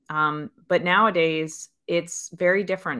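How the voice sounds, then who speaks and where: In a very clean recording with a silent background, a woman with an American accent speaks at a moderate pace in a bright, sharp tone with fairly even intonation and a dry, close sound with no echo. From Pennsylvania, US. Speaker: angel investor. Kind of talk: interview.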